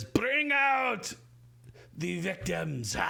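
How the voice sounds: Gravelly and high-pitched, a man speaks. He uses a put-on character voice.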